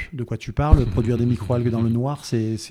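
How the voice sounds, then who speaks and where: A man speaks at a medium pitch with a dark, mellow tone. The recording is very clean, with a silent background. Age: 60s. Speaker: biologist and entrepreneur. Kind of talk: interview. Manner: hesitant, repeats words.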